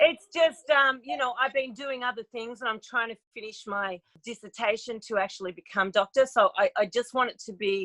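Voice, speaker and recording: Speaking with an Australian accent, a woman with a fairly high pitch and a bright, sharp tone talks at a moderate pace with ordinary pitch variation, big swings in loudness and hardly any pauses, in a dry, close sound with no echo. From Australia, Melbourne. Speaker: podcast guest, talk show creator and doctoral candidate. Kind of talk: casual interview chat. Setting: podcast interview.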